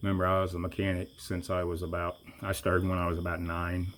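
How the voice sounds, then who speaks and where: A man with a very deep, low pitch talks at a fairly quick pace in a relaxed tone, his intonation monotone and flat. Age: 60s. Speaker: mechanic doing a tractor repair vlog. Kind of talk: tutorial. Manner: casual, relaxed.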